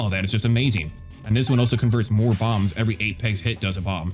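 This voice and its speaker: Over music in the background, a man talks with a fairly low pitch and ordinary pitch variation. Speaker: gaming YouTuber. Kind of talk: gameplay commentary.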